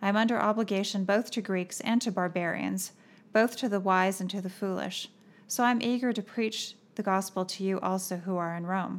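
An unremarkable speaking voice from a woman at a medium pitch, fairly quick and fairly even in intonation, on a very clean recording with a silent background. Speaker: podcast co-host. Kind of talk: casual devotional Bible discussion.

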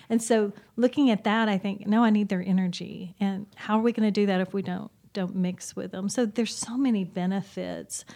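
A woman talks at a fairly quick pace with a medium pitch. Her tone is dark and mellow, her intonation fairly even. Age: 50s. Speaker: church ministry assistant and freelance writer. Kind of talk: casual chat.

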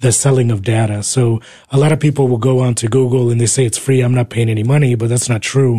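In an American accent, a man speaks at a fairly quick pace with monotone, flat intonation. His medium-pitched voice is dark, mellow and somewhat breathy. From New Jersey. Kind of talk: radio interview. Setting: radio studio.

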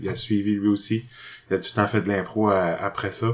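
A man with a plain, everyday voice, medium pitch, and a fairly slow pace. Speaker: improv actor. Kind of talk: casual interview.

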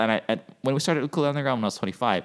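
A man's voice on a very clean recording, silent background. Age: 30s. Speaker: podcast host and startup founder. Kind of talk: casual solo monologue. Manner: rambling with many fillers.

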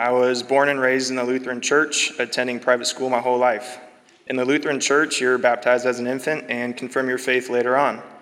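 Amid noticeable background noise, a man with an American accent talks very fast at a medium pitch in a monotone, flat intonation. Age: 20s. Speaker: church member giving baptism testimony. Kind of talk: testimony. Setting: church.

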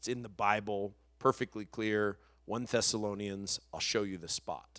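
The recording is very clean, with nothing in the background. A man talks at a moderate pace. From New Mexico. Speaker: pastor. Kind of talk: casual chat.

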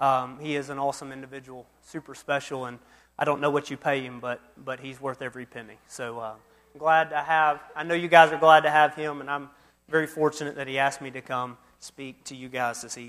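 In an Alabama accent, the speaker talks at a fairly quick pace with monotone, flat intonation and big swings in loudness. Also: man, fairly high pitch for a man. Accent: Southern US (Alabama). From US South, Mobile, Alabama. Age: 30s. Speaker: youth minister. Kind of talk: sermon.

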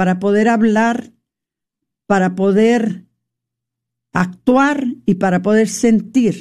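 A woman speaks at a very slow pace. Her fairly high pitch has ordinary variation. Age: old. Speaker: radio host. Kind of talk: faith-based radio talk.

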